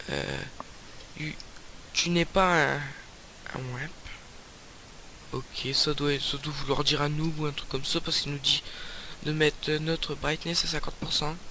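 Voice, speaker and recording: The man's intonation is monotone and flat. He speaks at a fairly slow pace. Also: fairly high pitch for a man. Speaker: gaming YouTuber. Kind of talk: let's play commentary. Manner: loud; hesitant, many fillers.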